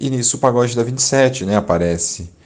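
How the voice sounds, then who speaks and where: A man speaks at a fairly slow pace. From São Paulo, Brazil (Grajaú, south zone periphery). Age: 30s. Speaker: geographer, teacher and cultural organizer. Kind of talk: interview. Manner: halting, many fillers.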